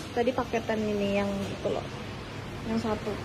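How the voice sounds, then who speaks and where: Over music in the background and audible room echo, a woman is soft-spoken. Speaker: solo hiking vlogger. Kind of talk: travel vlog narration. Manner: quiet, speaking softly; casual, chatty.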